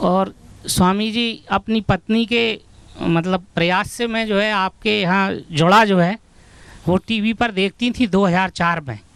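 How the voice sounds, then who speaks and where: A man's high voice, with ordinary pitch variation, comes across dry and close with no echo. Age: 60s. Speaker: yoga follower sharing health testimony. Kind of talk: testimony. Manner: halting.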